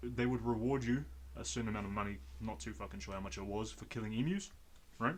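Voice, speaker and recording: Talking very fast with a New Zealand accent, a man uses a fairly low pitch that swings very widely. Vocal fry comes through, and there is audible room echo. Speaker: podcast host. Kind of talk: casual chat.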